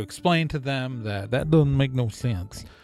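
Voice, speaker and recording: Ordinary pitch variation colors a man's medium-pitched speech. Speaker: podcast host. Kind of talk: casual monologue. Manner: fast; animated.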